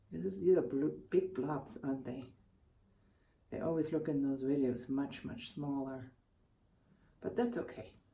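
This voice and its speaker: Quiet and mumbling, a woman speaks at a fairly slow pace with long, frequent pauses and a very deep, low pitch. Her tone is dark and mellow, her intonation lively, and room echo is audible. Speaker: art tutorial youtuber. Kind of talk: casual tutorial commentary.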